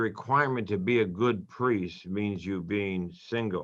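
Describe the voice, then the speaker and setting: This man has a bright, sharp tone and ordinary pitch variation. He talks at a moderate pace. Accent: American. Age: 70s. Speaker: priest. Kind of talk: radio interview. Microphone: line froze.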